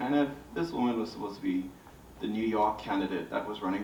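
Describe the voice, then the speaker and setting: Noticeable background noise and audible room echo surround the recording. A man in a Bahamian accent talks at a fairly quick pace with ordinary pitch variation. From Bahamas. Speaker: visual artist. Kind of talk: panel discussion.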